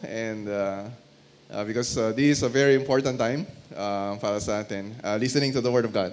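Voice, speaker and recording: Fairly quick, fairly evenly intoned speech from a man at a medium pitch. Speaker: pastor, guest preacher. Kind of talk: sermon preaching to a congregation.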